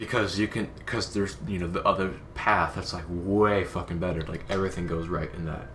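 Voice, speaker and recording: This man's voice sits very deep and low, moving at a fairly quick pace with hardly any pauses, and the room echo is audible. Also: ordinary pitch variation. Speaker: gaming youtuber. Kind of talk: casual chat. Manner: halting.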